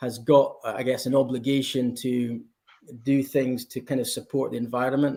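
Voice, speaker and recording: A dark, mellow tone in a Scottish accent, at a moderate pace with monotone, flat intonation. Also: man. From Scotland. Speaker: blockchain company representative. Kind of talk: conference panel interview.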